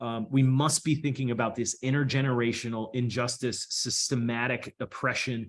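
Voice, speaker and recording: A man's voice sits at a medium pitch. The pace of his speech is moderate. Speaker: researcher presenting on urban heat. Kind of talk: panel presentation and discussion. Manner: halting.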